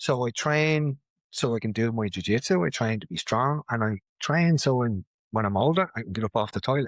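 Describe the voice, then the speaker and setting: Against a quiet background, a man with a medium-pitched voice speaks at a fairly quick pace with lively intonation, and the sound is dry and close with no echo. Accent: Dublin. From Ireland, Dublin (Ballymun). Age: 50s. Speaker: martial arts instructor and mental health advocate. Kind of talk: casual chat.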